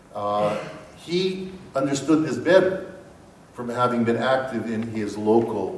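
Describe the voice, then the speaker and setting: The man speaks with lively intonation. Noticeable background noise and audible room echo are present. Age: 60s. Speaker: professor. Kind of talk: lecture.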